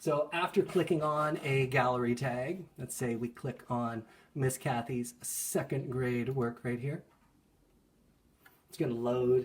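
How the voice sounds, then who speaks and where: The voice is somewhat breathy, with big swings in loudness. It moves at a fairly slow pace with ordinary pitch variation. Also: man, medium pitch for a man. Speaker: school art teacher. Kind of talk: tutorial. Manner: casual, with fillers.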